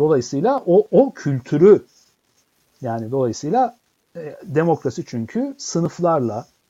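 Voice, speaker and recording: A man's dark, mellow voice at a fairly slow pace. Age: 50s. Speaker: professor and author. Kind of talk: interview.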